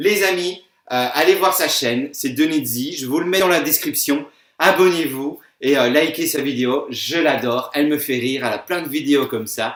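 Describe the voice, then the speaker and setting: A man with a Belgian accent speaks in a fairly high voice with ordinary pitch variation. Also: moderate pace. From Belgium. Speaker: YouTuber. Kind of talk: casual reaction video. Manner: hesitant, many fillers.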